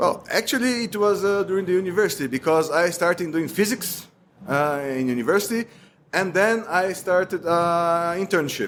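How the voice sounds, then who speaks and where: A high-pitched male voice with ordinary pitch variation in a very clean recording with a silent background. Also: moderate pace. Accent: Brazilian Portuguese. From Brazil. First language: Portuguese. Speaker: cloud engineer. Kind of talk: podcast interview. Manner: halting, many fillers.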